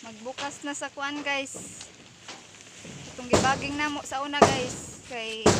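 Loud background noise surrounds a woman speaking. Her pace is very slow, and the sound is dry with no echo. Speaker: farmer vlogger. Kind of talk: casual vlog chat. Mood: cheerful, smiling. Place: farm machine. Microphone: phone near.

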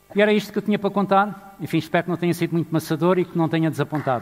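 Faint music plays in the background as a man speaks with a European Portuguese accent. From Portugal. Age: 60s. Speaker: economist and manager. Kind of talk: conference keynote speech. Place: stage. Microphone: headset.

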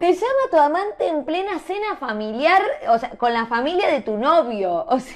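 An animated, high-pitched woman's voice with very wide pitch swings at a moderate pace. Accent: Rioplatense. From Argentina. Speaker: storytelling youtuber. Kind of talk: casual story reading and commentary. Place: home room.

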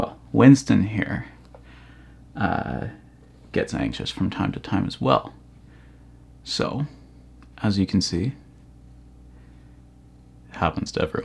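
Soft-spoken and at a very slow pace, a man with a very deep, low voice and vocal fry makes very wide pitch swings, leaving long, frequent pauses. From Ontario, Canada. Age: 20s. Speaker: vlogger. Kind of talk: talking to pet. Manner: soft, affectionate. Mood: gentle, warm. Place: home room.

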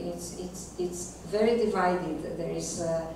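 A woman's voice with strong room echo and noticeable background noise. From Yugoslavia. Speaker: philosopher. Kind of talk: lecture. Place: classroom.

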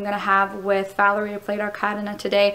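The pace runs fairly quick. The speaker is a woman. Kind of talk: reflective vlog about rehearsal. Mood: thoughtful, pleased. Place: stage. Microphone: phone near.

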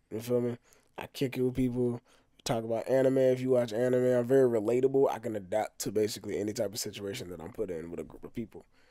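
At a very fast pace with an American accent, the voice has a dark, mellow tone, ordinary pitch variation and big swings in loudness, recorded dry with no echo against a quiet background. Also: man. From Texas. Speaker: rapper; interview guest. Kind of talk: casual interview. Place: home room. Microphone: studio mic.

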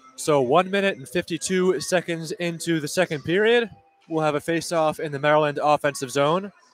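High male voice with ordinary pitch variation, dry and echo-free, faint music behind it. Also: big swings in loudness. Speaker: play-by-play announcer. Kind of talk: live sports play-by-play commentary. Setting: rinkside broadcast booth in arena corner. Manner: rapid-fire, high-energy, excited on goals; clipped, continuous puck-by-puck narration. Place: stadium.

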